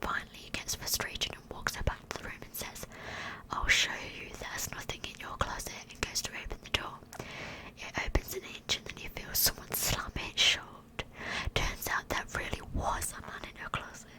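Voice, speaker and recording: A woman whispering at a moderate pace, with big swings in loudness and noticeable background noise. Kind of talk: scary story reading. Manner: whispered, soft, close-up.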